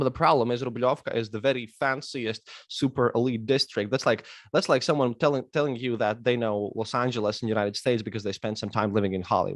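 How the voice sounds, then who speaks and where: A man with a Latvian accent at a medium pitch, very fast pace and fairly even intonation, against a quiet background. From Latvia, Riga. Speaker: historian and podcaster. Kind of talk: casual interview chat. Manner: halting, many repetitions.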